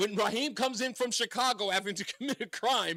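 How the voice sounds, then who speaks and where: A man with an American accent, high pitch and bright, sharp tone, his voice raised and projected at a fairly quick pace. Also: dry, close sound with no echo. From New York City (Queens). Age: 50s. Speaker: radio talk show host. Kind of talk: talk radio.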